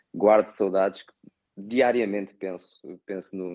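This man's voice is very deep and low, with a slight Brazilian accent. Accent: Portuguese with slight Brazilian tinge. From Portugal, Setúbal. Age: 30s. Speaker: airport designer, emigrant. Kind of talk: interview. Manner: halting, many repetitions.

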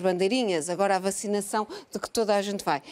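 In a very clean recording with a silent background, a woman with a plain, everyday voice speaks at medium pitch with fairly even intonation. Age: 50s. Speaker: biologist and research institute director. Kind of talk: televised panel debate. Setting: live broadcast from a museum.

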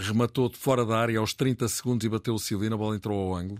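A man talks very fast in a fairly low voice with ordinary pitch variation, the sound dry and close with no echo on a very clean recording with a silent background. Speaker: radio football commentator, book author. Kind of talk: casual chat. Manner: animated, laughing.

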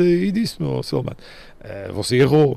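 Background noise is clearly audible. Over it, a man speaks fairly quickly. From Madeira, Portugal. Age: 50s. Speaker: retired football referee. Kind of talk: interview testimony. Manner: halting with fillers.

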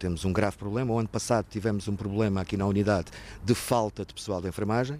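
Very fast speech keeps its intonation fairly even. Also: man, fairly low pitch for a man. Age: 50s. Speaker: former patient in alcohol recovery. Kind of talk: testimony. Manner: halting.

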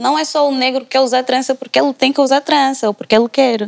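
With ordinary pitch variation, a woman talks at a very fast pace in a dry, close recording with no echo. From Angola. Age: 20s. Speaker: political science student. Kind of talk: panel discussion.

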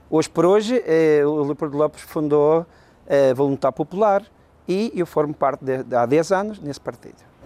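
A man's fairly high voice with a dark, mellow tone, ordinary pitch variation and a moderate pace, in a dry, close sound with no echo. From Madeira, raised in Venezuela from childhood. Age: 40s. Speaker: politician. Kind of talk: interview.

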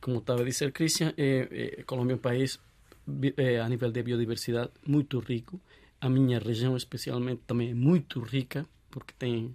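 A man of medium pitch with a Colombian accent. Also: fairly even intonation, moderate pace. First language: Spanish (speaking Portuguese). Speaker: guest from Colombia. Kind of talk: casual chat. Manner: halting.

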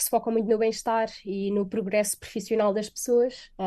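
In a European Portuguese accent, a woman speaks with a dark, mellow tone at a fairly high pitch. Her intonation is monotone and flat, and her pace fairly quick. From Portugal. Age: 20s. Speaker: software developer. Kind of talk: radio interview. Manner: hesitant, many fillers.

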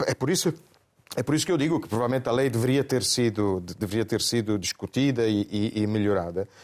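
A man with an Italian accent speaks at a fairly quick pace and a medium pitch. His intonation is lively. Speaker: panelist commentator. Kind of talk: panel discussion. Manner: halting, repeats words.

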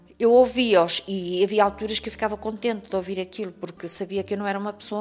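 Speaking very fast with a European Portuguese accent, a woman keeps a medium pitch in a monotone, flat intonation. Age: 50s. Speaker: domestic violence survivor. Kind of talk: testimony. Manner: halting.

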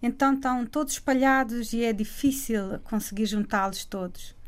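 A woman speaks at a moderate pace in a high-pitched voice. The recording is very clean, with a silent background. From Cape Verde (Praia). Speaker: singer. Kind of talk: radio interview.

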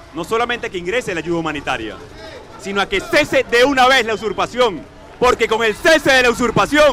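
A man's raised, projected voice at an extremely high pitch and a fairly quick pace, with crowd noise in the background. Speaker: opposition activist. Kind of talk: political speech. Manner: impassioned.

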